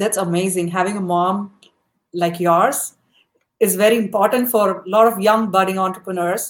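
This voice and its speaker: A plain, everyday voice: a woman at medium pitch with ordinary pitch variation. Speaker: podcast host. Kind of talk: casual interview.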